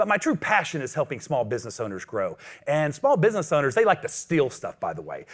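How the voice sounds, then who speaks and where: A man speaks loudly and very fast in a fairly high pitch, with very wide pitch swings, an energetic tone and vocal fry. The recording is very clean, with a silent background. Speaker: business coach. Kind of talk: motivational talk. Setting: stage with audience.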